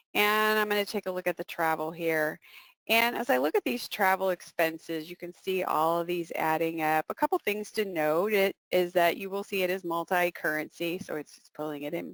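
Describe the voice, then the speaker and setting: In an ordinary speaking voice, a woman with fairly low pitch talks at a moderate pace with hardly any pauses and big swings in loudness, in a dry, close sound with no echo. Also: ordinary pitch variation. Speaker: software presenter, CPA. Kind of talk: webinar software demo.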